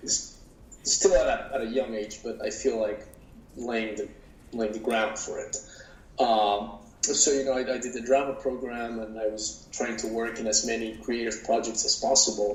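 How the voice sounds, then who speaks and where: There is audible room echo as a man speaks at medium pitch with monotone, flat intonation. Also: moderate pace. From Mexico City. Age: 30s. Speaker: actor and producer. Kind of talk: interview. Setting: podcast. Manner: halting, with many fillers and repeats.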